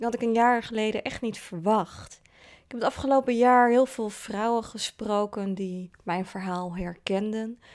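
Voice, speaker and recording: In an unremarkable speaking voice, a woman talks at a fairly slow pace and fairly high pitch with fairly even intonation, captured on a very clean recording against a silent background. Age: 30s. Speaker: podcast host. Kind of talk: personal narrative. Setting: in person, face to face.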